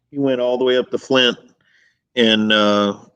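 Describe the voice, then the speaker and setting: A man speaks with a Southern accent in a monotone, flat intonation. The background is quiet. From US South. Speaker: bass angler. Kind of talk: casual chat. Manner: mumbling.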